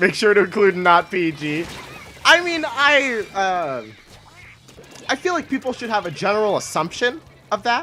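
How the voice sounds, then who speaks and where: A woman at a medium pitch and moderate pace, with long, frequent pauses and noticeable background noise. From Canada. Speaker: gaming streamer. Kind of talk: casual live stream chat while gaming. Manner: halting, pauses while thinking.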